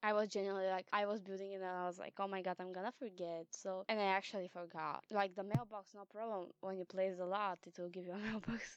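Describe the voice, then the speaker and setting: Using a non-native accent, a woman talks at a very fast pace in a monotone, flat delivery with hardly any pauses. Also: medium pitch for a woman, dry, close sound with no echo. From Eastern Europe. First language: not English, Eastern European language. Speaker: gaming YouTuber. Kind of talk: casual voiceover commentary. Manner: halting, with frequent repetitions and fillers.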